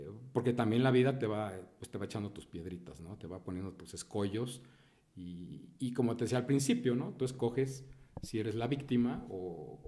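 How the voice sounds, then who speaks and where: Dark and mellow in tone, a man's medium-pitched voice comes across somewhat breathy. His pitch varies in an ordinary way. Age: 50s. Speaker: entrepreneur. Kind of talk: interview.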